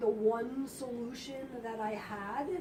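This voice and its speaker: With noticeable background noise and audible room echo, a woman speaks at a very slow pace, her high pitch held in fairly even intonation. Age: 50s. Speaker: health spa owner. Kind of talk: talk to audience. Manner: conversational.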